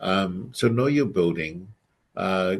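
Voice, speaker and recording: The background is quiet as a man speaks with a non-native accent. His voice is very deep and low, with ordinary pitch variation. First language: not English. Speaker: emergency management presenter. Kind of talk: presentation over video call. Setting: video call. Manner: halting, many fillers.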